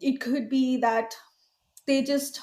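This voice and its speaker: This woman's voice is high in pitch, dark and mellow in tone, with ordinary pitch variation. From India (Mumbai). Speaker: film executive producer. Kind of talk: casual interview chat. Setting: podcast.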